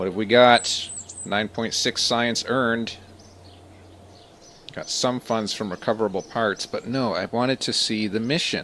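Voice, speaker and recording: Quietly, a man speaks with long, frequent pauses. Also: medium pitch for a man, fairly slow pace. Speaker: video game streamer. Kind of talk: live gameplay commentary. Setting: live stream. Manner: varies between loud and quiet. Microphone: too close to the mic, peaking.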